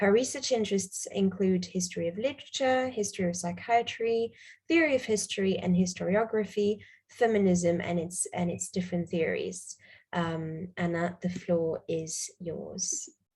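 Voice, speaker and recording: The woman's voice is somewhat breathy, medium in pitch, with ordinary pitch variation. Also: moderate pace. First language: not English. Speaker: panel chair. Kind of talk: conference moderation. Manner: hesitant, many fillers.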